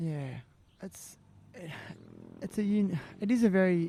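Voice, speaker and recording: With an Australian accent, the speaker talks at a fairly slow pace. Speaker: podcast host. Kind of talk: podcast interview. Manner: halting, many restarts.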